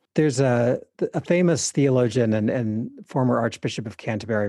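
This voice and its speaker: Dark and mellow in tone, a man with an American accent speaks at a medium pitch with ordinary pitch variation. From US South, East Texas and Arkansas. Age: 40s. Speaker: priest and writer. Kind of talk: interview conversation. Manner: repeats words often, halting.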